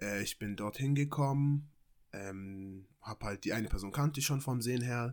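A man with an ordinary speaking voice talks at a moderate pace and a medium pitch. His pitch varies in an ordinary way on a very clean recording with a silent background. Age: 20s. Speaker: amateur model and footballer. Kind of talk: casual chat.

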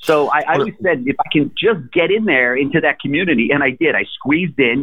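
A man with a fairly high pitch and vocal fry talks with very wide pitch swings. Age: 50s. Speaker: entrepreneur, former car dealership owner. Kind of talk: interview.

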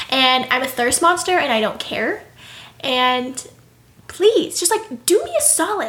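A woman with a high, bright, sharp voice sounds animated, her pitch swinging very widely. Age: 20s. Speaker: podcast co-host. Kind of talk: casual chat. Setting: sitting on a bed with roommate present. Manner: fast.

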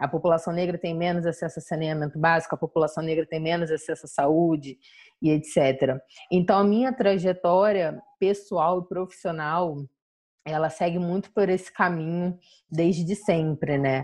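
A woman with a plain, everyday voice speaks at a moderate pace, her fairly low pitch held in fairly even intonation. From São Gonçalo area, Rio de Janeiro, Brazil. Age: 20s. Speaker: journalist and activist. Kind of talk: interview conversation.

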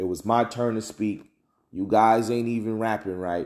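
A man speaks with a fairly low pitch and a dark, mellow tone. He talks with an American accent and ordinary pitch variation. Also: very clean recording, silent background. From New Jersey. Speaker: podcast host. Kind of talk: solo commentary podcast. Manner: casual, with many fillers and repeats.

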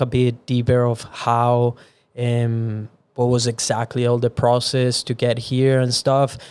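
At a fairly slow pace, a man with a Venezuelan accent speaks at a medium pitch. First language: Spanish. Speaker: podcast host. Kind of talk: casual chat.

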